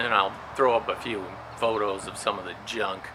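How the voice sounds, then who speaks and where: A man with an American accent at a moderate pace, ordinary pitch variation, and noticeable background noise. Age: 60s. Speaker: retired prison guard and storage facility owner. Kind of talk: casual vlog monologue.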